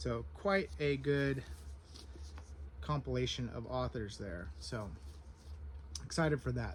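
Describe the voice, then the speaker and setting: Soft-spoken and somewhat breathy, a man talks. His pitch swings very widely. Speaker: book reviewer. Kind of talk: casual vlog, book haul. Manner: hesitant, filler words.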